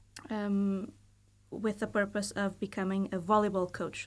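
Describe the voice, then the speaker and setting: In a Portuguese accent, the speaker talks at a moderate pace with monotone, flat intonation on a very clean recording with a silent background. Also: woman. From Portugal. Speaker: university lecturer and volleyball coach. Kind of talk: podcast interview. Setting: studio. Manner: hesitant, many fillers.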